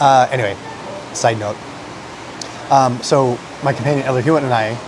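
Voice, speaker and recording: Quietly and in a flat monotone, a man with an American accent speaks at a medium pitch, with audible room echo and noticeable background noise. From United States. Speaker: food vlogger. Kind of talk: casual chat.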